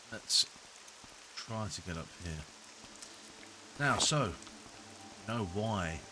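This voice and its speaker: Speaking in a British accent with a relaxed tone and ordinary pitch variation, a man is heard amid noticeable background noise and audible room echo. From Britain. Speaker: gaming video creator. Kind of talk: let's play commentary.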